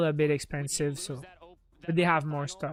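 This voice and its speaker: A man at a moderate pace, in a French accent. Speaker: gaming streamer. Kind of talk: live stream watch-along commentary. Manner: casual, chatty.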